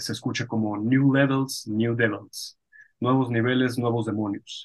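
Flat, monotone intonation carries a fairly slow delivery. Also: man. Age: 30s. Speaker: podcast host. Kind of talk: interview conversation.

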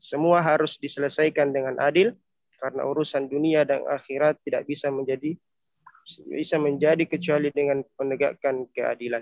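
A man's fairly high voice, fairly quick in pace, with fairly even intonation. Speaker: student. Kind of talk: class presentation. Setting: video call.

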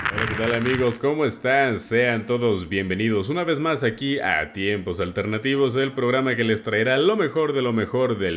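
The speaker uses lively intonation at a moderate pace. Noticeable background noise can be heard. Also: man. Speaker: radio host. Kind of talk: music show presenting.

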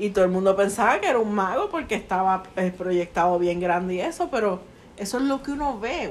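With a Puerto Rican accent, a woman talks at a fairly quick pace, her pitch making very wide swings. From Puerto Rico. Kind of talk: casual chat.

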